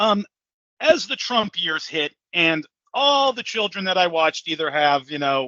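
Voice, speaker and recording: A loud man speaks at a high pitch with very wide pitch swings. He talks fairly slowly. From California, San Francisco Bay Area (Hayward). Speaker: salesman and podcast host. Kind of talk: casual interview conversation. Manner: animated, filler-heavy with repetitions.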